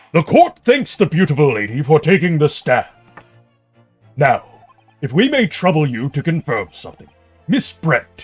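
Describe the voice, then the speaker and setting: Putting on a character voice, a man with a fairly high pitch uses lively intonation, big swings in loudness and long, frequent pauses, with faint music in the background. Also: moderate pace. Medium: game stream. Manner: ornate, overly polite.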